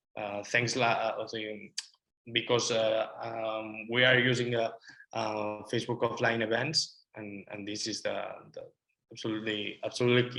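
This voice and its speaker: With a Spanish accent, a man speaks at a moderate pace and a medium pitch. His tone is bright and sharp, his intonation monotone and flat, and his loudness swings widely. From Spain. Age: 20s. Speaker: marketing agency owner, student. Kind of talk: interview. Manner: halting, many fillers.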